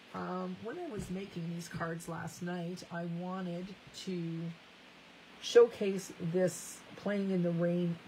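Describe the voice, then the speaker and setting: With a Canadian accent, a woman speaks at a very slow pace in a fairly low, monotone, flat voice, with big swings in loudness and audible room echo. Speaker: craft demonstrator. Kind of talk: live crafting tutorial.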